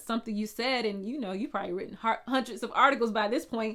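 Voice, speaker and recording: In a very clean recording with a silent background, a woman with a slight Southern US accent speaks at a fairly high pitch, her tone bright and sharp and her pitch variation ordinary. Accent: slight Southern twang. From US South. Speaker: blogging coach. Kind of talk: tutorial. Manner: casual, conversational.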